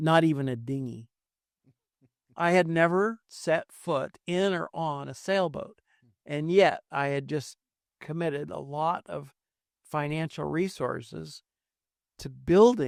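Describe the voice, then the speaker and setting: In an American accent, a man with a fairly high pitch talks very slowly with long, frequent pauses, the sound dry and close with no echo on a very clean recording with a silent background. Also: ordinary pitch variation. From California, San Francisco Bay Area. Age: 70s. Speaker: podcast guest. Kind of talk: casual interview, testimony. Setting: studio. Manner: halting, many fillers.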